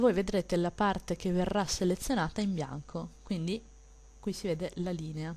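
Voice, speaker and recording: Soft-spoken, this woman has a fairly low pitch and a dark, mellow tone. She speaks with a strong Venetian accent and ordinary pitch variation. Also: moderate pace. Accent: Venetian Italian accent, marked. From Veneto, Italy. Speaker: digital illustrator. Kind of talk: tutorial. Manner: soft-spoken, kept low for neighbors.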